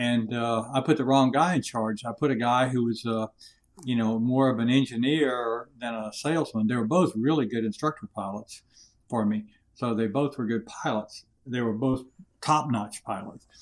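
Here is a normal speaking voice with an American accent, a moderate pace and ordinary pitch variation. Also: man, medium pitch for a man. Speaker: retired Air Force colonel, leadership consultant. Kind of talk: interview.

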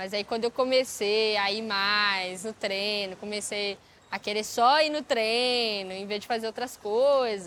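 Using an ordinary speaking voice, a woman talks at a fairly slow pace with a fairly high pitch. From Belo Horizonte, Minas Gerais, Brazil. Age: 20s. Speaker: breaking dancer. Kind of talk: interview testimony. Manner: casual, slangy.

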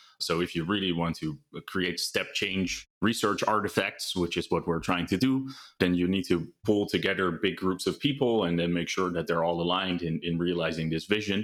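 A man with a Dutch accent speaks in a very deep, low voice. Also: ordinary pitch variation, moderate pace. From Netherlands. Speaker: AI research lead. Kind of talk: interview. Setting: video call from home.

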